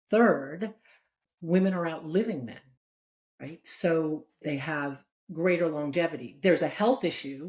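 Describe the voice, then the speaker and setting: Pausing long and often, a woman speaks at a fairly slow pace and fairly low pitch, with ordinary pitch variation and big swings in loudness. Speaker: strategist and nonprofit founder. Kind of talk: interview conversation.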